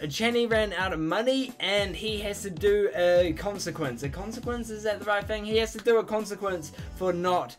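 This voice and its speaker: Clear music plays behind a man with a high voice and ordinary pitch variation. He keeps a moderate pace with hardly any pauses. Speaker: reaction video creator. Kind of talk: casual vlog chat. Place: home room.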